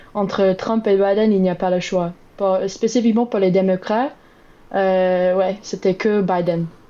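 At a fairly slow pace, a woman with an English accent keeps her intonation fairly even. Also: medium pitch for a woman, very even loudness. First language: English (speaking French). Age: 20s. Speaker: Biden voter interviewed. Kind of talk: interview. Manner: halting.

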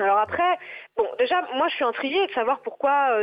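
A woman speaks with ordinary pitch variation. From western France, Nantes. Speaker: secondary school French teacher. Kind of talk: radio interview. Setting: phone call. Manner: hesitant.

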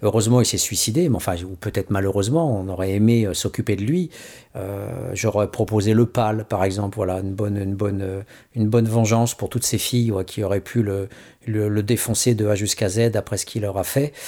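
Dark, mellow tone at a fairly quick pace, ordinary pitch variation, on a very clean recording with a silent background. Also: man, fairly low pitch for a man. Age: 50s. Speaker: radio host. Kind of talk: radio commentary. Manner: halting.

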